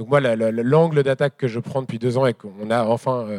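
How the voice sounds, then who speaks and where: On a very clean recording with a silent background, a man's voice sounds dry and close, with no echo. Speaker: moderator and farming activist. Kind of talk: live public talk. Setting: stage with audience. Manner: halting.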